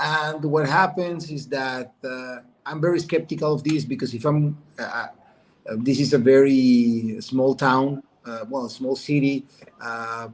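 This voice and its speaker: With a Mexican accent, a man speaks at a fairly high pitch and a fairly slow pace, with ordinary pitch variation. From Mexico. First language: Spanish. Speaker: businessman. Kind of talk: testimony. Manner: halting.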